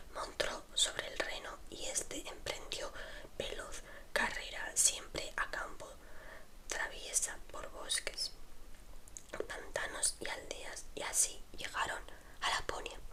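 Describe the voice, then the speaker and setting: A whispering woman at a very slow pace, with long, frequent pauses and noticeable background noise. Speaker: ASMR creator. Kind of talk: read story. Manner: whispered.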